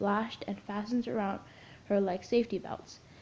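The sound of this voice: The speaker has an unforced reading voice with fairly even intonation.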